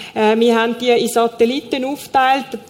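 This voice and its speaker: Over noticeable background noise, a woman with a fairly high voice speaks at a moderate pace with monotone, flat intonation. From Switzerland, Zurich Oberland. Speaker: aid worker, former teacher. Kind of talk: church stage interview. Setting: church stage.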